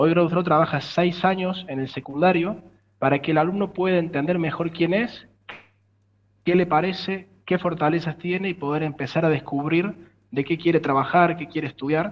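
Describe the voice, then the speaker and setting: A man speaks in a high voice at a moderate pace. His intonation stays fairly even. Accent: Córdoba Argentine. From Argentina, Córdoba. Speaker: tech startup founder. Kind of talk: interview.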